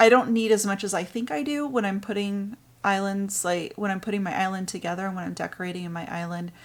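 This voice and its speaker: In a very clean recording with a silent background, a soft-spoken woman talks very fast with hardly any pauses, at a medium pitch with ordinary pitch variation and big swings in loudness. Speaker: gaming YouTuber. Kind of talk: gameplay commentary. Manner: hesitant, many fillers.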